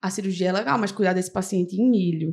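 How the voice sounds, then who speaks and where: The tone is animated. The pace is very fast. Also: woman. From Serra Talhada, Pernambuco, Brazil. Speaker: medical resident in urology. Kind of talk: podcast interview, casual chat.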